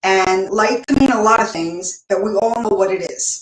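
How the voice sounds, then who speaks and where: Medium pitch and fairly even intonation from a woman. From United States. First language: Spanish. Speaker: online show host and business founder. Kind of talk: casual solo talk. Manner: halting, many fillers.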